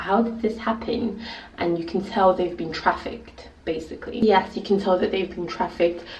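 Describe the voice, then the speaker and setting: Noticeable background noise and audible room echo surround this recording. A woman with a British accent speaks at a moderate pace with ordinary pitch variation. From England, early childhood in Nigeria. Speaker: video blogger. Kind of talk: casual vlog talk. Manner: animated.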